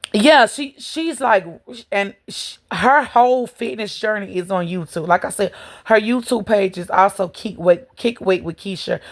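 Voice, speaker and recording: A woman speaks at a fairly slow pace at medium pitch, with ordinary pitch variation and big swings in loudness. The recording is very clean, with a silent background. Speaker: vlogger. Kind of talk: casual chat. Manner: casual, hesitant with fillers.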